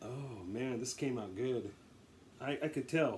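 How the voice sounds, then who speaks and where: Against noticeable background noise, a man talks at a medium pitch. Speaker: home cooking video maker. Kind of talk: casual tutorial. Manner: rambling, casual.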